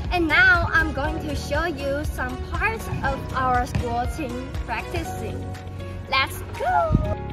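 Clear music can be heard behind the speech. A woman talks at a very slow pace. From Taichung, Taiwan. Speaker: university student. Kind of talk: self-introduction talk to camera. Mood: cheerful, friendly. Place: open country.

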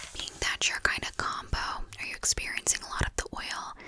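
Whispering fills the clip. The woman holds a moderate pace. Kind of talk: roleplay consultation talk. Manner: soft, hushed ASMR voice. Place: home room.

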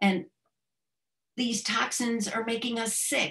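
A somewhat breathy woman at a fairly slow pace against a quiet background. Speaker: presenter. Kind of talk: lecture. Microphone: webcam.

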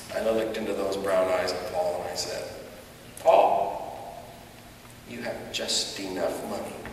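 Against light background noise and strong room echo, a man speaks at a fairly slow pace, with fairly low pitch and ordinary pitch variation. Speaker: storyteller on stage. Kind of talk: storytelling performance. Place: stage.

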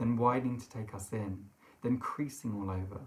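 A somewhat breathy man at a moderate pace with fairly even intonation. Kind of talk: literary reading. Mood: eerie, hushed storytelling. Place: home room.

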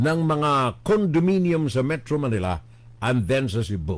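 This man's pitch makes very wide swings. He speaks at a fairly slow pace. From Philippines. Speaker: web radio news commentator; political commentator. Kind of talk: political commentary monologue. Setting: live stream. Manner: animated. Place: home room. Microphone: studio mic.

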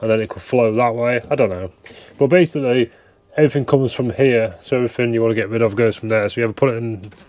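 A man talks at a very fast pace with fairly even intonation. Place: boat. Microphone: lapel.

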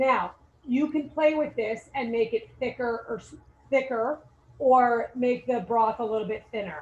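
Speaking fairly slowly, a woman uses a high pitch with ordinary pitch variation. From Puerto Rico. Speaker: chef and inn owner. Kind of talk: cooking demonstration.

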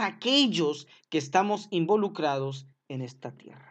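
A man talks at a moderate pace with an animated tone and lively intonation in a fairly high voice. The background is quiet. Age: 30s. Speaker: preacher. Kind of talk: sermon. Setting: live stream.

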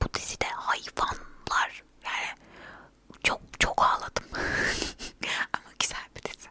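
Whispering at a very slow pace, a woman leaves long, frequent pauses, her loudness swinging widely over noticeable background noise. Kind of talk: casual ASMR talk to camera about TV dramas. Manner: whispered, soft.

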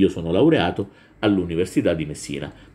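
Dark and mellow with vocal fry, a man's voice moves through very wide pitch swings. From Southern Italy, Calabria (Reggio Calabria). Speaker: teacher. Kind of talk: lecture. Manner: hesitant, with frequent fillers. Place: home room. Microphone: webcam.

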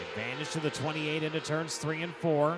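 A man with a fairly high pitch talks while noticeable background noise plays. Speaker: race announcer. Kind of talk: live race commentary, play-by-play call of a dirt track feature. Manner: animated, rapid-fire, rising urgency toward the finish; fluent, clipped track-announcer delivery, running through positions and gaps.

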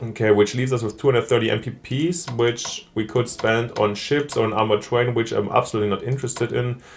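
A man speaks at a fairly quick pace with hardly any pauses, his pitch medium. His voice is somewhat breathy, and his intonation stays fairly even. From Germany. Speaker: gaming video creator. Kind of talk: let's play commentary.

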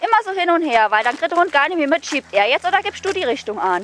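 Someone with a Saarland accent talks at a fairly quick pace with very wide pitch swings. The sound is dry with no echo, over light background noise. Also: woman. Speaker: dog trainer. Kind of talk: instructing a client during training. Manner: lively, engaged. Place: street.

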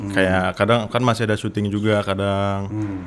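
A man's fairly low voice at a very fast pace over light background noise. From Indonesia (Sumatra). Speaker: content creator, language learner; content creator. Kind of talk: casual chat. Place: studio. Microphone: studio mic.

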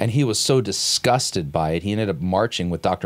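With an American accent, a man talks at a very fast pace. His pitch is fairly low, and his intonation is lively. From US West, Los Angeles; California. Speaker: lecturer, commentator. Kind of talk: lecture. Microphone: studio mic.

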